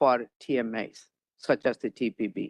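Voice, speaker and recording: A dry, close sound with no echo, carrying a man's voice with a non-native accent. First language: not English. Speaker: planning staff member. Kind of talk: answering questions at board meeting. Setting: hybrid public meeting.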